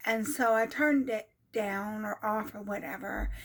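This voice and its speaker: Very clean audio, silent background, and a woman with an American accent. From United States. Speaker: vlogger. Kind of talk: personal vlog, casual storytelling. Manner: halting, many fillers.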